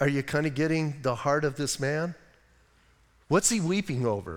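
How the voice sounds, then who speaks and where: The speaker has an American accent and an animated tone. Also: man. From United States. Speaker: pastor. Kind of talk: sermon. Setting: church.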